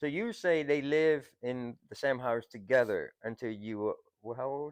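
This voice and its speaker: A man speaks at a moderate pace and medium pitch with a slight Vietnamese accent. His pitch variation is ordinary. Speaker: podcast host. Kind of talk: casual chat. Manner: halting, many fillers.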